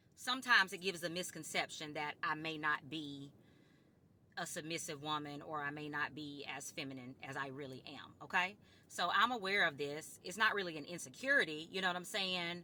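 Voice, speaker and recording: A woman with a very deep, low pitch talks at a fairly quick pace in a bright, sharp tone, with big swings in loudness and ordinary pitch variation. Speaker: vlogger. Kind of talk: casual monologue to camera. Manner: firm.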